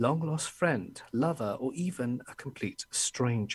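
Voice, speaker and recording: A somewhat breathy man with an English accent and ordinary pitch variation. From England. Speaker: horror story narrator. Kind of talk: casual interview chat.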